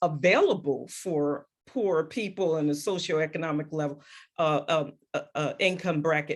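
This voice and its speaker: A woman with an American accent at a moderate pace, an ordinary speaking voice. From New York City (Queens). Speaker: discussion moderator. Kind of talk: virtual group discussion. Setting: video call.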